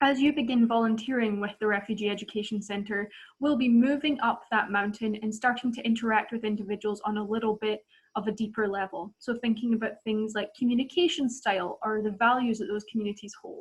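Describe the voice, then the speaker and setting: Somewhat breathy and fairly high in pitch, a woman with a Scottish accent talks at a fairly quick pace with fairly even intonation. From Scotland. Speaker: volunteer trainer. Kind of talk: training presentation.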